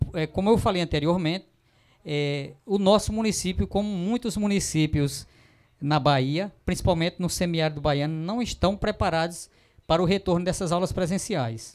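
Against a quiet background, a man talks at a moderate pace. His pitch is high, with ordinary pitch variation. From Pernambuco sertão, Brazil (Araripina); Pernambuco, Brazil. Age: 50s. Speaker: teacher and union president; teacher. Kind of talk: interview. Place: studio. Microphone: handheld.

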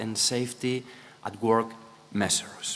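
A man speaks with a Spanish accent. He keeps a moderate pace. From Spain. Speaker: presenter. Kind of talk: conference panel talk. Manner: halting. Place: hall.

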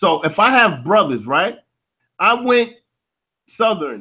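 Raising and projecting his voice, a man speaks at a moderate pace in a bright, sharp tone. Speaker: panelist. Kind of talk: heated debate. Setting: video call.

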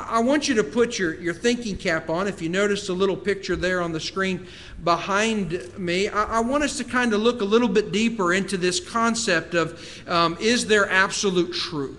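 Speaking at a moderate pace with hardly any pauses, a man uses a high pitch and ordinary pitch variation. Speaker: preacher. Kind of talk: sermon. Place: church. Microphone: podium.

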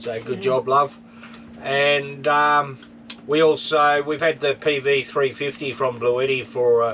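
A man's voice over light background noise. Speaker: prospecting vlogger. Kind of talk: casual vlog chat. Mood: relaxed, cheerful. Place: home room. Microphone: phone near.

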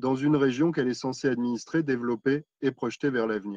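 A man's fairly high voice, dry with no echo, against a quiet background. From France. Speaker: local politician. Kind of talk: council speech. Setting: council meeting. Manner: formal. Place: home room. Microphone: video call.

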